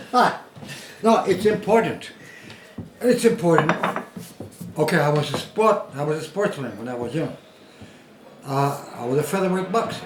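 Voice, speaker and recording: With a Scottish accent, the speaker makes very wide pitch swings and takes long, frequent pauses. There is audible room echo and noticeable background noise. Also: man, high pitch for a man, moderate pace. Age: 70s. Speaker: former boxer. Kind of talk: casual chat. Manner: animated.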